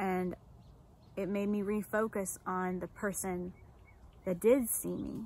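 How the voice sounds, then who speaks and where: A woman with an American accent speaks at a fairly slow pace, with medium pitch and fairly even intonation. The sound is dry with no echo, over light background noise. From United States. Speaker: life coach and army veteran. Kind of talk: personal testimony vlog. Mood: earnest, reflective. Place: garden. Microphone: phone near.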